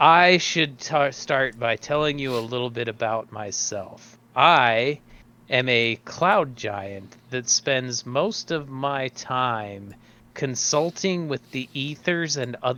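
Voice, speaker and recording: Booming and fairly slow, a man uses a put-on character voice at a medium pitch. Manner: grand, formal.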